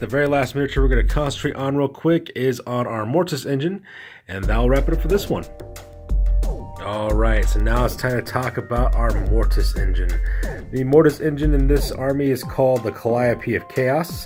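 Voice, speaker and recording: With music in the background, a man speaks at a fairly quick pace in an enthusiastic tone. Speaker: miniature wargaming hobbyist. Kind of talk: hobby tutorial talk. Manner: casual, enthusiastic.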